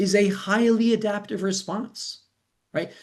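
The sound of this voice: A man's high-pitched voice at a slow pace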